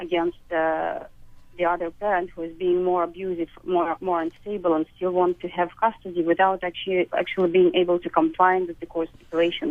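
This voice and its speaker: Speaking fairly quickly in a flat monotone, a woman talks with a Russian accent. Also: fairly low pitch for a woman. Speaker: caller. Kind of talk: phone-in call. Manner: halting, many hesitations.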